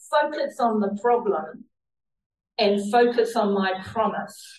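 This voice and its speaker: A somewhat breathy woman's voice at a fairly high pitch, with ordinary pitch variation. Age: 70s. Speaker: lay preacher. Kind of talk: sermon. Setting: church.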